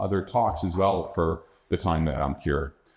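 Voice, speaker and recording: A man with a New York accent speaks at a moderate pace in a somewhat breathy voice. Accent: New York area American. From New York metropolitan area. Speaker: astrobiologist, keynote speaker. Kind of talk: lecture.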